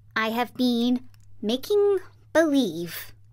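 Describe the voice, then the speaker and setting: A woman puts on a character voice that is high-pitched and shaky. Her pitch swings very widely. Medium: read story. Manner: meek, trembling.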